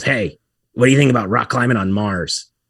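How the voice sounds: A man puts on a character voice at a medium pitch, nasal and raspy. He talks at a fairly quick pace.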